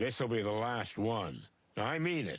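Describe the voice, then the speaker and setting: Putting on a character voice, a man speaks raspy and deadpan at a medium pitch and a fairly slow pace. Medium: video game. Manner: gruff, deadpan.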